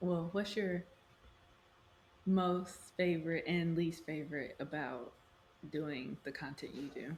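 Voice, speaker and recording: Her voice is fairly low and somewhat breathy, with ordinary pitch variation. This woman speaks at a very slow pace. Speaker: podcast host. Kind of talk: casual chat. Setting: video call.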